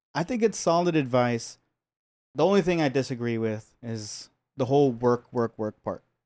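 A man with an American accent and a medium pitch talks at a moderate pace with lively intonation on a very clean recording with a silent background. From Los Angeles, US. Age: 30s. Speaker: painter and sculptor. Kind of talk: casual interview chat.

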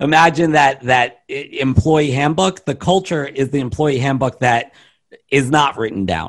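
Speaking in an unremarkable speaking voice, a man uses ordinary pitch variation at a fairly high pitch. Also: fairly slow pace. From US East Coast, Baltimore, Maryland. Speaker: business consultant and keynote speaker. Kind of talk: interview.

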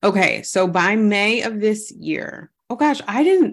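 Recorded very cleanly against a silent background, a woman speaks in an animated tone with vocal fry, a medium pitch, and lively intonation. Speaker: podcast co-host. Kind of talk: casual chat.

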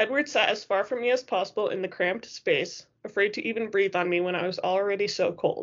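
Here is an unforced reading voice. Its pitch varies in an ordinary way.

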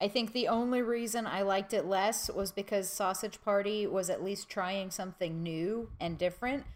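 A woman has an ordinary speaking voice at medium pitch with fairly even intonation and very even loudness. She keeps a moderate pace with hardly any pauses. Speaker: podcast panelist.

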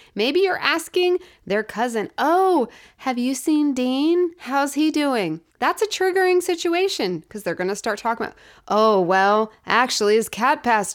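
A woman speaks at a high pitch with an animated tone and very wide pitch swings, at a moderate pace. The recording is very clean, with a silent background. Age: 40s. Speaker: podcast host and abuse recovery coach. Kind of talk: casual monologue.

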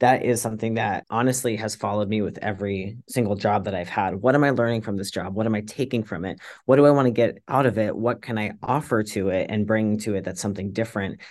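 A man with an American accent speaks at a very fast pace with hardly any pauses, his pitch fairly low and intonation fairly even. The background is quiet. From US South, suburban Virginia. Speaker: tech marketing lead and bakery owner. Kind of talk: interview.

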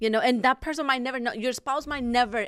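A voice with a Spanish accent talks at a fairly quick pace with ordinary pitch variation. The recording is very clean, with a silent background. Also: woman. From Mexico. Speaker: pastor. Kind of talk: casual chat.

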